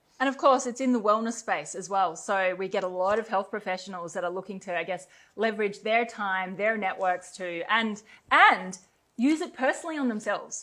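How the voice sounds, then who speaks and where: At a fairly quick pace, a woman with an Australian accent speaks in a bright, sharp tone at a medium pitch with ordinary pitch variation. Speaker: company co-founder, network marketer. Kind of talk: promotional webinar conversation. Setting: webinar recorded in Bali.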